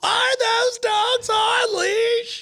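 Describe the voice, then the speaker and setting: This female-sounding, put-on character voice is shrill and pitched extremely high, delivered in a monotone, flat intonation. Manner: accusing, entitled.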